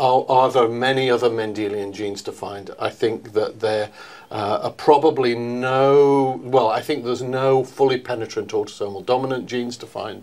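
A man at a moderate pace with fairly even intonation and hardly any pauses. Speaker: interviewee. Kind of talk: interview answer. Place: meeting room. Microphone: lapel.

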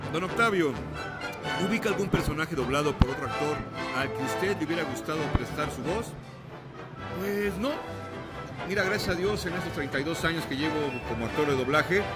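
Over loud music in the background, a man speaks at a fairly quick pace broken by long, frequent pauses. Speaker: voice actor. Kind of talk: interview answer. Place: hall.

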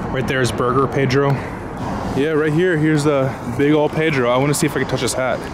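Over loud background noise, a man speaks very fast in a dry sound with no echo. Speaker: travel vlogger. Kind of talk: casual vlog chat. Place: street. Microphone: phone near.

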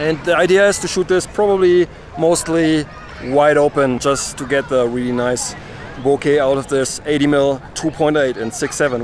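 A man is heard with crowd noise in the background. The sound is dry, with no echo. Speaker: street photographer vlogger. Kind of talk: casual vlog chat. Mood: cheerful, relaxed. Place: open country.

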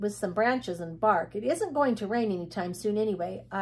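Simple, plain reading aloud

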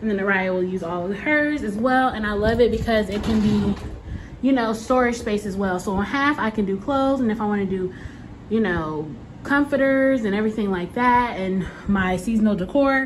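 A woman at a moderate pace with ordinary pitch variation, over light background noise. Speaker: single mom vlogger. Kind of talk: casual vlog chat. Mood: happy, excited. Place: empty room. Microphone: phone near.

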